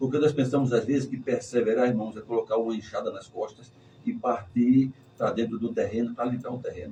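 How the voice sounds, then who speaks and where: At a medium pitch with ordinary pitch variation, a man speaks in a dark, mellow tone that is somewhat breathy. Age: 60s. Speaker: pastor. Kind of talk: sermon-style testimony in church talk.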